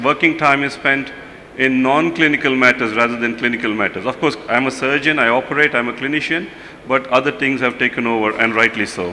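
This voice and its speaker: A man with a fairly high pitch talks at a moderate pace over noticeable background noise. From India. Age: 50s. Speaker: pediatric surgeon. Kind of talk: conference lecture.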